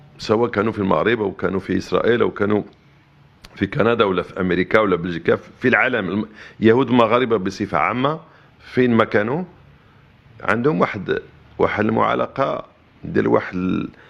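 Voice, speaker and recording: This man talks fairly quickly at a medium pitch, with ordinary pitch variation. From Morocco. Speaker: interviewee on politics. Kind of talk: interview answers. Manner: halting, many repeated words.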